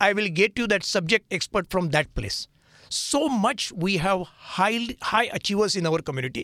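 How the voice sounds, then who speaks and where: In a Marathi accent, a man speaks in a raised, projected voice with a high pitch, bright, sharp tone and lively intonation at a moderate pace, on a very clean recording with a silent background and a dry, close sound with no echo. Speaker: nonprofit founder. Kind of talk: radio interview. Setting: studio.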